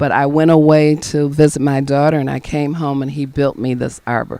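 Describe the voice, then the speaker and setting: A woman's very deep, low voice with a dark, mellow tone at a moderate pace. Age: 60s. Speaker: urban farm and garden owner. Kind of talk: garden tour talk. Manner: halting, many fillers.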